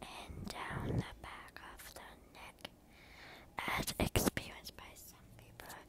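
The voice whispers very slowly, broken by long, frequent pauses. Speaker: ASMR creator. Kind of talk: ASMR video. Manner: whispered. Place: home room. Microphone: phone near.

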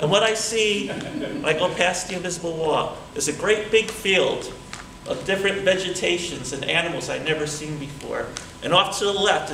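A man talks at a moderate pace with fairly high pitch and a bright, sharp tone. Audible room echo surrounds his voice.

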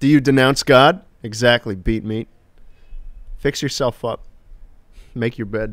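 The man's pace is fairly slow, with ordinary pitch variation. Behind him, the background stays quiet. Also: dry sound with no echo. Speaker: livestreamer; game streamer. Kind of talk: casual live stream chat. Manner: animated. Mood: joking, relaxed. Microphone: studio mic.

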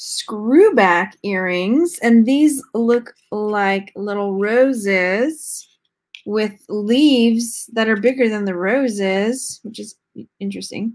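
A woman with an American accent at a very slow pace, against a quiet background. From Texas. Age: 40s. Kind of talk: live-stream unboxing chat. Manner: animated, laughs often. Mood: cheerful, curious. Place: home room. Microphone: webcam.

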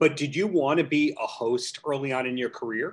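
In an ordinary speaking voice, a man talks at a moderate pace with ordinary pitch variation over a quiet background. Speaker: podcast host. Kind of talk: interview. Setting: video call. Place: home room. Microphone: video call.

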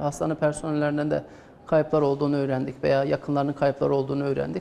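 There's light background noise as a man speaks at a fairly high pitch. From Azerbaijan. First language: Azerbaijani (speaking Turkish). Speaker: doctor. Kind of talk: interview testimony. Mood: calm, serious recounting. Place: hall. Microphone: lapel.

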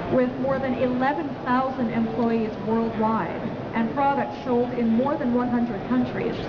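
Against loud background noise, a woman talks at a moderate pace in a high voice. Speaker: corporate presenter. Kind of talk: live trade show presentation. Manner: personable, engaging. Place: hall. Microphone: headset.

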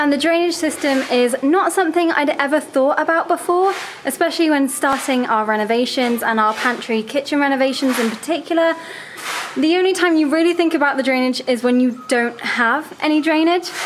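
A woman's high voice at a fairly quick pace, with ordinary pitch variation and light background noise. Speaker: home renovation vlogger. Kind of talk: casual vlog chat. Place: home room. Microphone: phone near.

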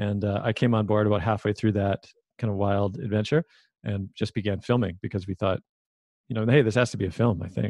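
With a Canadian accent and a plain, everyday voice, a man speaks at a fairly quick pace in a fairly low pitch with fairly even intonation, the sound dry and close with no echo over a quiet background. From Vancouver, Canada. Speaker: filmmaker and podcast host. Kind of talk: casual interview.

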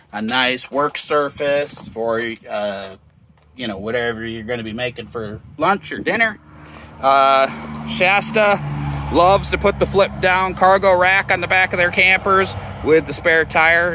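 A man talks at a fairly slow pace with very wide pitch swings, in a dry sound with no echo and light background noise. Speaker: RV dealership salesperson. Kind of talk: product walkthrough commentary. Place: street. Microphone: phone near.

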